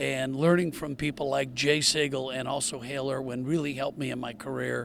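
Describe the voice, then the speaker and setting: Noticeable background noise sits behind a man with an American accent. He talks fairly quickly in a monotone, flat intonation. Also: medium pitch for a man. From US Pacific Northwest, Portland, Oregon. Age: 70s. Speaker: retired pro golfer and TV golf commentator. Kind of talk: interview.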